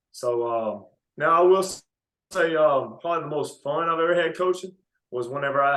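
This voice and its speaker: Here a man talks with a Mississippi accent. His pace is moderate and his pitch variation ordinary. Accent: Mississippi Southern US. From US South. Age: 20s. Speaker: basketball coach. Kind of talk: interview. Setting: podcast.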